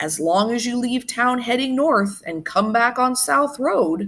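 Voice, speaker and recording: A female-sounding voice speaks in a put-on character voice with a high pitch. The pace is fairly slow. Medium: read story.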